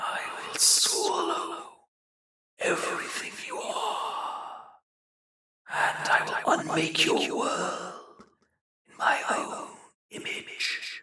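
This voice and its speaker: A man's put-on character voice, soft-spoken, raspy and hissing, at an extremely high pitch, with a very slow pace and long, frequent pauses. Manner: hissing, menacing.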